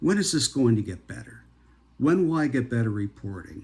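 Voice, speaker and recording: A man's somewhat breathy voice with a dark, mellow tone at a moderate pace. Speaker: healthcare professional. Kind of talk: motivational talk.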